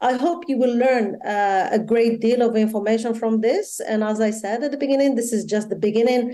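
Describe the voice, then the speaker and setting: In a Moroccan accent, the speaker moves at a fairly quick pace with a dark, mellow tone and very even loudness, amid audible room echo. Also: woman, fairly high pitch for a woman, ordinary pitch variation. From Morocco. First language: Moroccan Arabic. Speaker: tech company policy manager. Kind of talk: opening speech.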